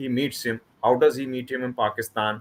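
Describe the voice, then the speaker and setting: A man speaks at a medium pitch and a moderate pace. His tone is bright and sharp. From Kashmir, Srinagar. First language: Kashmiri or Hindi. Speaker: author. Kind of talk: interview. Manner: halting, many repetitions.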